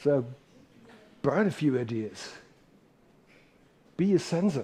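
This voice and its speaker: A man speaks at a fairly slow pace, his pitch fairly high and his intonation lively. His tone is dark and mellow, and somewhat breathy. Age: 60s. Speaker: professor. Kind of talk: lecture. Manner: animated.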